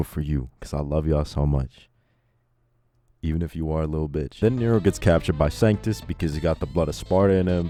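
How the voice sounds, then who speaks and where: A man with a very deep, low pitch talks very fast with lively intonation while music plays in the background. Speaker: video essayist. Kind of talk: game review narration. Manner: casual.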